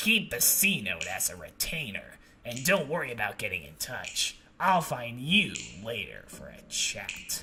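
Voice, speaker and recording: A man puts on a character voice at a medium pitch, speaking at a moderate pace with big swings in loudness. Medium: solo performance.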